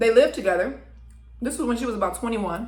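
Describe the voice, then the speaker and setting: Vocal fry with ordinary pitch variation. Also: woman. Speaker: mukbang / ASMR eating content creator. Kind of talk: storytelling about a documentary while eating.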